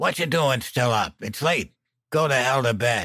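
A put-on character voice, raspy, hoarse and croaky. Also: man. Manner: gruff, belligerent.

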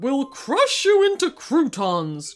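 A growling, put-on character voice with faint music in the background. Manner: menacing.

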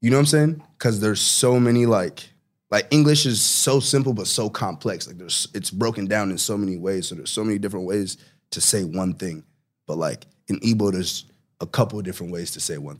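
A man's fairly low voice at a fairly quick pace, with lively intonation and big swings in loudness, on a very clean recording with a silent background. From Nigeria (Enugu), moved to Sacramento at ten. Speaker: rapper. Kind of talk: casual interview chat. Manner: animated, heavy filler words.

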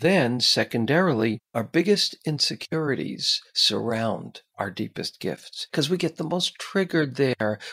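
In a dry, close sound with no echo, a man with a fairly high pitch, a bright, sharp tone and vocal fry speaks at a fairly slow pace with lively intonation. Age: 60s. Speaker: psychotherapist and author. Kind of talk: casual interview chat.

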